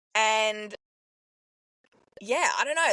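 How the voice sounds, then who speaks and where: A woman speaks with an Australian accent and lively intonation, her tone bright and sharp. The sound is dry and close, with no echo. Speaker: podcast co-host. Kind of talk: casual chat. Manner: loud.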